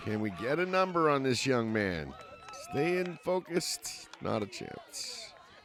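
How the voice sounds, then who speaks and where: Very wide pitch swings mark this man's fairly high voice. He talks at a very slow pace amid noticeable background noise. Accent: American. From US Northeast. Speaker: sports commentator. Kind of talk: live commentary.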